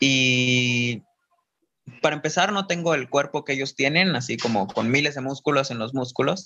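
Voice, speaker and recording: The man's tone is bright and sharp, at a medium pitch with ordinary variation. He keeps a moderate pace. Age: 20s. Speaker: dancer and performer. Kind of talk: interview.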